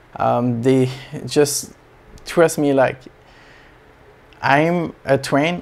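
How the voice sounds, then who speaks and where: Fairly high in pitch, a man speaks with a French accent. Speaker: aquarium hobby YouTuber. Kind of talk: casual vlog update. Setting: small home space. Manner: halting, many fillers.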